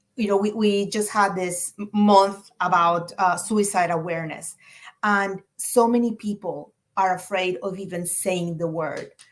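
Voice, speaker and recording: The speaker talks with a Spanish accent at a fairly slow pace. The intonation stays fairly even. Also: woman, medium pitch for a woman. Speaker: clinician. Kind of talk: presentation.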